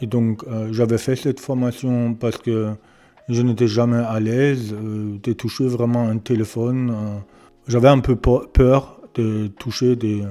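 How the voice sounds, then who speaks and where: A man with a German accent speaks at a medium pitch with monotone, flat intonation. His tone is dark and mellow, and his pace is very slow. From Germany. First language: German (speaking French). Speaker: beginner electronics repair hobbyist. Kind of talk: channel introduction, casual monologue. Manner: halting, many hesitations.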